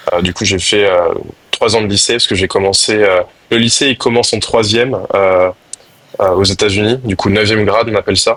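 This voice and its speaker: A man talks at a fairly quick pace in a fairly low voice, his loudness very even, with noticeable background noise behind him. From France (moved around, military family). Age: 20s. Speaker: lacrosse player, national team. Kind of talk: podcast interview. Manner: hesitant, many fillers.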